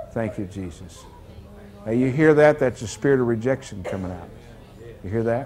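With light background noise, a man speaks at a moderate pace with ordinary pitch variation, big swings in loudness, and long, frequent pauses. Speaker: deliverance minister. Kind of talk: deliverance prayer. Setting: church service with congregation. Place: church. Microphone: lapel.

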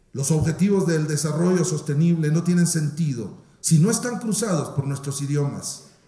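At a fairly high pitch, a man with a dark, mellow tone speaks at a moderate pace with ordinary pitch variation and audible room echo. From Guatemala. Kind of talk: formal speech. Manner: formal. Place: hall. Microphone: podium.

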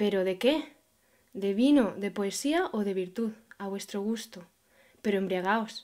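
At a fairly slow pace with long, frequent pauses, a woman speaks at medium pitch with ordinary pitch variation. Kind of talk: poem reading aloud, repeated takes. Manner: halting, stumbling, repeating phrases.

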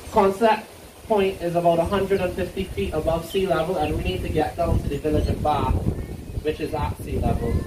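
Noticeable background noise behind a man talking at a fairly quick pace with ordinary pitch variation. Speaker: tour guide. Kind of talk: tour guide commentary.

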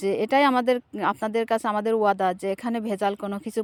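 A woman's normal speaking voice, fairly high, with ordinary pitch variation, in dry, close sound with no echo on a very clean recording with a silent background. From Bangladesh, Kushtia region. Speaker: food business owner and vlogger. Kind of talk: promotional vlog to camera.

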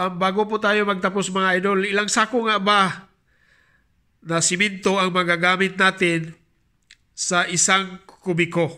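Raising and projecting his voice, a man with a high pitch and a bright, sharp tone speaks at a fairly slow pace with monotone, flat intonation and very even loudness. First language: Bisaya (speaking Tagalog). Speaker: mason and YouTuber. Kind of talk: tutorial. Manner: halting.

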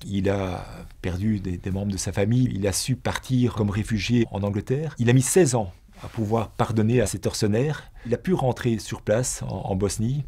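Speaking at a moderate pace, a man with a fairly low, dark and mellow voice sounds somewhat breathy, with ordinary pitch variation. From Belgium. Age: 60s. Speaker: former teacher and businessman; former businessman turned teacher. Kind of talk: personal testimony; interview answer. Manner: halting, with frequent repetitions. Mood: reflective, earnest. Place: studio. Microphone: lapel.

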